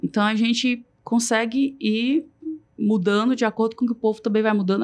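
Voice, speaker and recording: Against a quiet background, a woman with a plain, everyday voice talks at a fairly quick pace and a fairly high pitch. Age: 30s. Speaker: supermarket marketing director. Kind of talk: podcast interview.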